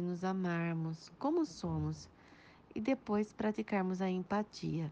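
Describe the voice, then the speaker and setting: A woman speaks at a fairly slow pace. Her pitch shows ordinary variation. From Pederneiras, interior of São Paulo state, Brazil. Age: 40s. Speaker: history teacher. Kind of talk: interview answers. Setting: WhatsApp voice recording. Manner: formal.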